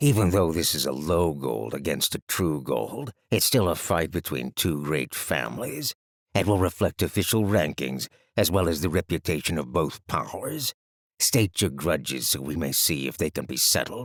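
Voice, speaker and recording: In a put-on character voice, a man speaks at a moderate pace with a very deep, low pitch that swings very widely. The sound is dry and close with no echo, on a very clean recording with a silent background. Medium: read story.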